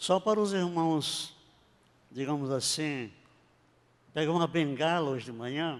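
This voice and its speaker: A man with a fairly high pitch speaks with long, frequent pauses. Audible room echo surrounds his voice. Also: ordinary pitch variation, fairly slow pace. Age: 80s+. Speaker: pastor. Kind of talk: sermon. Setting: church.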